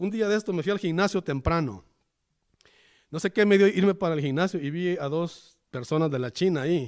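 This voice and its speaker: On a very clean recording with a silent background, a man speaks at a fairly quick pace with lively intonation. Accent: Salvadoran. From El Salvador. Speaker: pastor. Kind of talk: sermon. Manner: halting.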